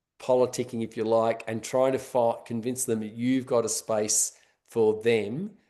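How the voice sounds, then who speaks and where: A man's medium-pitched voice, dark and mellow in tone, flat and monotone at a moderate pace against a quiet background. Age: 60s. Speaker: road safety education expert. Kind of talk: webinar panel discussion. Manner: halting, many fillers and restarts.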